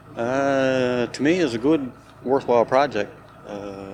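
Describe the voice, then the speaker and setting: Through noticeable background noise, a man with a Newfoundland accent speaks with ordinary pitch variation. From Newfoundland, Springdale. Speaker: volunteer on whale-towing project. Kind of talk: casual on-site interview. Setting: outdoors on a beach.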